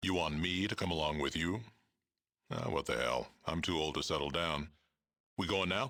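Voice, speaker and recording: Putting on a character voice, a man talks at a moderate pace in a very deep, low register, with long, frequent pauses. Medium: video game. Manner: gruff, terse.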